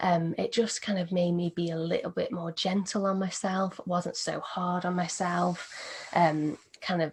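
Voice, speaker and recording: The speaker sounds calm and somewhat breathy, with ordinary pitch variation. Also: woman. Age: 20s. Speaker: meditation teacher. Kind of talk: interview.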